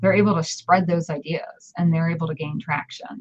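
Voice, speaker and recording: A woman speaks at a fairly low pitch with fairly even intonation. The sound is dry and close, with no echo. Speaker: online presenter and writer. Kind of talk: interview. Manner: loud; halting.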